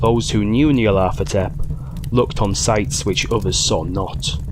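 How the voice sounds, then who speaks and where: Over noticeable background noise, a man with a Yorkshire accent speaks in a fairly low pitch at a fairly slow pace. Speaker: audiobook narrator. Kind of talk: horror story reading.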